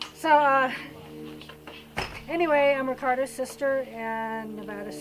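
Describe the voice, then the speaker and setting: A woman is speaking with audible room echo. Noticeable background noise runs underneath. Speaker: relative speaking at memorial. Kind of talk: memorial tribute. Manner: trying to speak loudly.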